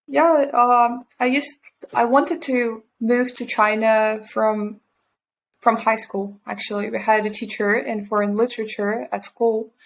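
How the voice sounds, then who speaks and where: With a Russian accent, a woman with a fairly high pitch speaks at a fairly slow pace, with ordinary pitch variation, in a very clean recording with a silent background. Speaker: environmental scientist and entrepreneur. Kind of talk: interview.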